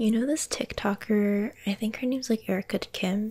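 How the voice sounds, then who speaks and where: Soft-spoken and gentle in tone, a woman talks at a moderate pace with fairly even intonation and very even loudness. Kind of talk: soft casual role-play chat. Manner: soft-spoken, close, gentle ASMR voice. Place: home room. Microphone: phone near.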